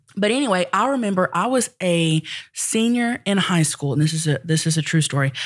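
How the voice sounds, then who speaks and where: With a Southern US accent, a woman speaks at a fairly quick pace in a fairly low pitch. Her tone is animated, with very wide pitch swings. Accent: Southern US (Oklahoma). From Oklahoma (rural southern Oklahoma). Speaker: comedian and internet personality. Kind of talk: casual chat.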